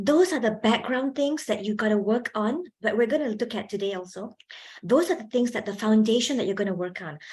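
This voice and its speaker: Lively in intonation and somewhat breathy, a woman speaks at a fairly quick pace in a fairly high pitch. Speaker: lecturer, public speaking trainer. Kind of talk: workshop talk. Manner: animated, projecting when presenting.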